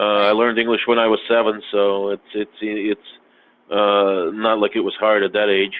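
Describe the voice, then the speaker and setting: Speaking at a moderate pace, a man talks in a fairly low pitch with a monotone, flat intonation. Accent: Russian. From Russia, then US from age eight. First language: Russian. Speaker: podcast guest. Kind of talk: casual chat. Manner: halting, many fillers.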